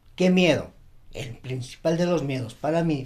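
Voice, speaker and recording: The voice is somewhat breathy, with ordinary pitch variation, at a moderate pace. There is audible room echo. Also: man. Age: 60s. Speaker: retired banker. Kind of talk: casual chat.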